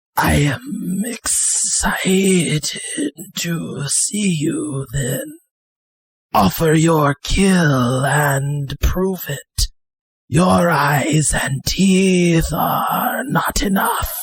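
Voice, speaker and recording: A raspy, whispering put-on character voice at a very slow pace. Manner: menacing, challenging.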